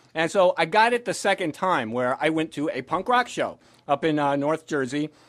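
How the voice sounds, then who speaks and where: On a very clean recording with a silent background, a man with an ordinary speaking voice talks at a moderate pace, his fairly high pitch moving in lively intonation. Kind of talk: spoken word performance. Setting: live venue. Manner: casual storytelling.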